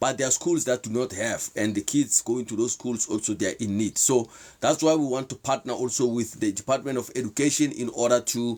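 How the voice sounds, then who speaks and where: With a South African accent, a man speaks at a fairly quick pace, his pitch medium and its variation ordinary. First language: Sepedi. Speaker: motivational/faith talk show host. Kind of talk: live stream talk. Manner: halting.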